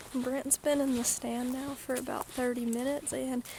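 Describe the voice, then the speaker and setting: A woman speaks at a fairly slow pace with a high pitch and monotone, flat intonation. Noticeable background noise is present. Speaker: vlogger. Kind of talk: casual vlog to camera. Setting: outdoors in a hunting stand. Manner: lowered voice while in the woods.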